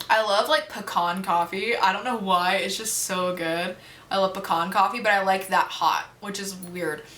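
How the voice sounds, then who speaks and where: With audible room echo and noticeable background noise, a woman with an American accent speaks at a medium pitch and a moderate pace, using ordinary pitch variation. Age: young. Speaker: YouTuber. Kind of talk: casual Q&A chat. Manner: casual, filler-heavy.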